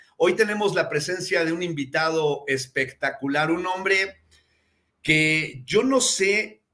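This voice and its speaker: A man speaks very slowly with a bright, sharp tone. His pitch is high, with ordinary variation. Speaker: podcast host. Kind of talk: live show host introduction. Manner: effusive, eloquent.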